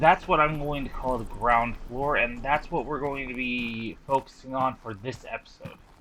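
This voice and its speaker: A man talks at a moderate pace in a medium pitch, with ordinary pitch variation. He hardly pauses, and there is noticeable background noise. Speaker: gaming YouTuber. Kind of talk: gameplay commentary. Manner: loud; halting, self-correcting.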